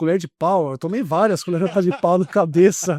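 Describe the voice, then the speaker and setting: The voice has a dark, mellow tone, captured in a dry, close sound with no echo and a quiet background. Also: man. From Brazil, São Paulo state (Vale do Paraíba). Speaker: actor and artist. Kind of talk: casual interview chat. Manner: animated storytelling.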